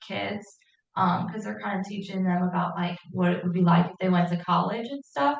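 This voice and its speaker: A woman's voice with vocal fry, in an American accent. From St. Louis, Missouri. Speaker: educator for deafblind children. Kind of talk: Q&A at a support group meeting.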